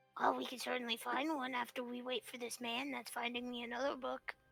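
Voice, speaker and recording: This is a raspy, put-on character voice. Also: female-sounding voice, high pitch for a woman, fairly quick pace. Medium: actual play. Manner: simple, friendly.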